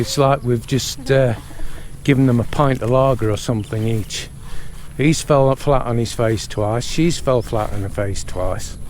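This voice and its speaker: A man with a British accent at a fairly slow pace, with noticeable background noise. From Britain. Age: 50s. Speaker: vlogger. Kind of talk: casual vlog chat. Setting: outdoors at a resort.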